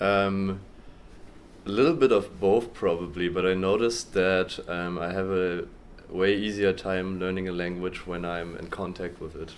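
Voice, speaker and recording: With a German accent, a man speaks in a very deep, low voice and fairly even intonation, and the room's echo is audible. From Germany. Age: 20s. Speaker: university student. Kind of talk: interview. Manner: hesitant, many ums and repetitions.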